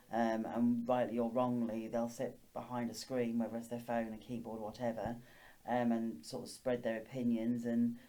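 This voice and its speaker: Dark, mellow tone with monotone, flat intonation at a moderate pace, plus audible room echo. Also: woman. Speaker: teacher. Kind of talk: interview. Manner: stutters.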